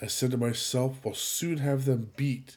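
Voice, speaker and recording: On a very clean recording with a silent background, a man speaks at a medium pitch and a fairly slow pace, somewhat breathy. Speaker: podcast host. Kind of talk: poem performed, theatrical reading aloud of a comic Viking Christmas poem. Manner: animated, rhythmic sing-song delivery with comic relish; casual, informal intro.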